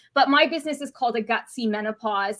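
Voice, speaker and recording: A woman with a Canadian accent raises and projects her voice. Her tone is bright and sharp, with lively intonation. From Canada. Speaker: dietitian. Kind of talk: interview.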